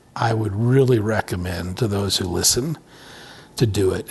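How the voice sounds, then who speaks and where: There is noticeable background noise as a man with an American accent speaks at a fairly low pitch with ordinary pitch variation. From Montana, US. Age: 60s. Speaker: businessman and ministry executive. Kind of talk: casual interview chat. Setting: studio room, cigar lounge.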